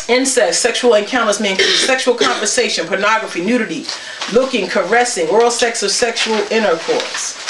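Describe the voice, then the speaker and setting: Over noticeable background noise, a woman speaks at a fairly quick pace with lively intonation. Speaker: church elder preaching. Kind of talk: sermon. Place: home room. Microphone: camera far.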